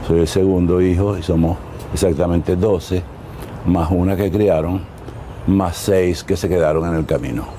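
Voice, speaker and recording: Fairly slow speech with long, frequent pauses, fairly even intonation, and very even loudness, amid audible room echo and noticeable background noise. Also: man. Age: 80s+. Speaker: artist interviewed about his life. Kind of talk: life-story interview. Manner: hesitant with fillers.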